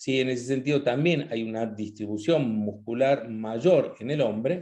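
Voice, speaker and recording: A man's medium-pitched voice, dark and mellow in tone, at a fairly slow pace with ordinary pitch variation. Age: 60s. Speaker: nutrition talk host. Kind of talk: online talk with slides. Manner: hesitant, many fillers.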